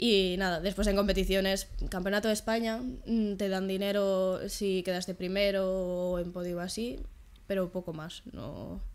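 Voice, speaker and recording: Her intonation is monotone and flat. The woman speaks at a fairly slow pace. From Galicia, Spain (Vigo); Galicia, Spain. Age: 20s. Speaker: trampoline gymnast and sports science student; podcast guest. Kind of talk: casual interview. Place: home room.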